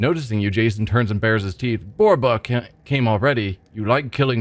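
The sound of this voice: An unforced reading voice is heard here. Its pitch varies in an ordinary way.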